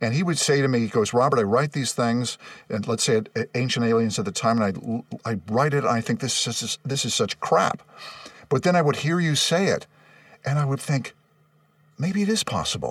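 At a fairly quick pace, a man with a Californian accent talks at a medium pitch with lively intonation. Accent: General American (Californian). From Los Angeles, West San Fernando Valley. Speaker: voice actor and announcer. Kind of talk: casual interview chat.

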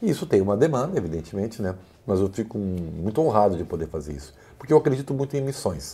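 Talking very fast, a man with a fairly low, dark, mellow, somewhat breathy voice makes very wide pitch swings. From Rio Grande do Sul, Brazil (Santa Maria). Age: 50s. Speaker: sports journalist and commentator. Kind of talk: casual chat.

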